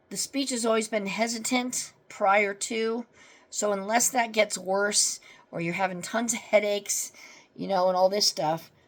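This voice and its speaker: A woman speaks at a fairly slow pace, her medium-pitched voice carrying fairly even intonation. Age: 50s. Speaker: vlogger. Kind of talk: casual chat. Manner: halting, gaps while searching for words.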